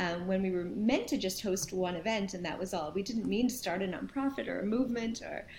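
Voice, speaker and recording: A woman with an American accent talks at a moderate pace in an ordinary speaking voice, with a medium pitch and ordinary pitch variation. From New York and New Jersey, US. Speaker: nonprofit founder and CEO. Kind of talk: interview.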